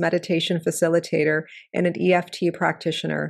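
Against a quiet background, a plain, everyday voice moves at a fairly quick pace. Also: woman. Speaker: podcast host. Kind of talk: interview conversation.

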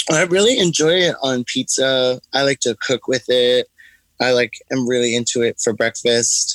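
A man with an American accent has an unremarkable speaking voice, medium in pitch, with ordinary pitch variation, a moderate pace and very even loudness, in a dry, close sound with no echo. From Brooklyn, New York. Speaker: hot sauce maker and drag performer. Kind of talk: interview.

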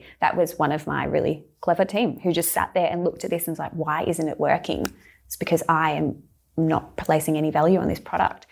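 Vocal fry and monotone, flat intonation at a fairly quick pace, on a very clean recording with a silent background. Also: woman, fairly low pitch for a woman. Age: 30s. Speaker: skincare brand co-founder. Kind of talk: interview. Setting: studio.

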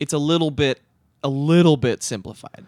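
A man talks at a fairly slow pace, his voice dry and close with no echo. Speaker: podcast co-host. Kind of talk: casual chat.

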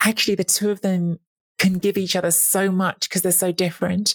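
A woman's somewhat breathy, medium-pitched voice at a fairly quick pace, with a dry, close sound and no echo. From Italy. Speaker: football podcast co-host. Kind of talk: casual chat. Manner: animated.

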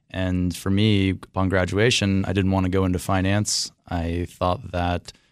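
A man's very deep, low voice in a flat monotone, with hardly any pauses, on a very clean recording with a silent background. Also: fairly slow pace. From Washington D.C. area (northern Virginia). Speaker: winemaker. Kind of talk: interview.

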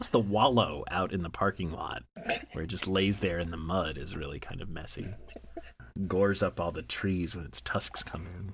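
A man speaks with a very deep, low, somewhat breathy voice. His pace is moderate and his pitch varies in an ordinary way. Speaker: podcast co-host. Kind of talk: casual chat.

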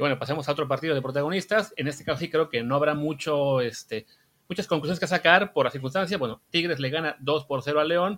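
A man talks at a very fast pace in a fairly high voice. His pitch varies in an ordinary way. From Mexico, Veracruz. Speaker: podcast host. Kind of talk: casual chat.

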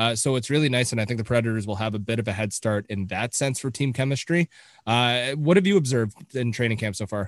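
A man with a Canadian accent and a medium pitch talks at a very fast pace, with a dry, close sound and no echo. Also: ordinary pitch variation. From Canada. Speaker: hockey podcast co-host. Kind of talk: casual chat.

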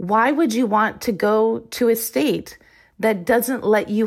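A woman talks in a normal speaking voice at a fairly high pitch. Her intonation is lively, and the recording is very clean with a silent background. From Iowa, US Midwest. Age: 50s. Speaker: former Olympic swimmer. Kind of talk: interview.

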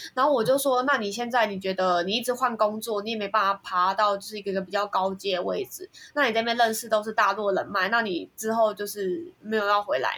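A woman talks at a fairly quick pace with hardly any pauses. Her tone is bright and sharp, her pitch fairly high. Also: ordinary pitch variation. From Taiwan. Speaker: software engineer. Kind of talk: casual chat.

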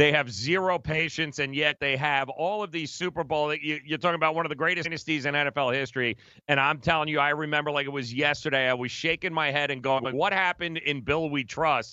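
A man with an unremarkable speaking voice talks at a fairly high pitch and a fairly quick pace, with fairly even intonation. He takes hardly any pauses. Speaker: sports radio host. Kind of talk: sports talk radio banter.

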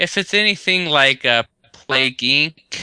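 A man's bright, sharp tone, dry and close with no echo, over a quiet background. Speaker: podcast co-host. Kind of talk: casual chat. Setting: video call.

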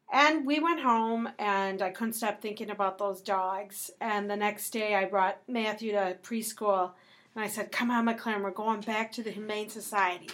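A woman's plain, everyday voice, fairly high in pitch, at a moderate pace with hardly any pauses, on a very clean recording with a silent background. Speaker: podcast co-host. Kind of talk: casual family chat.

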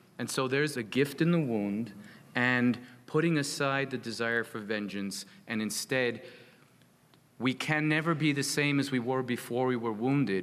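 Speaking with an American accent, a man talks at a moderate pace in a plain, everyday voice. His pitch sits in the medium range with ordinary variation. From United States. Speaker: psychotherapist working with veterans. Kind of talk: panel talk.

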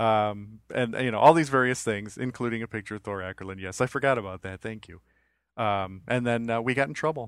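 Speaking at a fairly quick pace, a man with medium pitch and ordinary pitch variation shows big swings in loudness. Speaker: podcast host. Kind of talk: casual chat. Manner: halting.

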